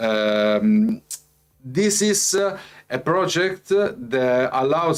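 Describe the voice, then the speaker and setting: A man with a non-native accent speaks with very wide pitch swings over background music. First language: not English. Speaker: crypto company executive presenting updates. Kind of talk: live company update presentation. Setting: livestream with chat. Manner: halting, many fillers.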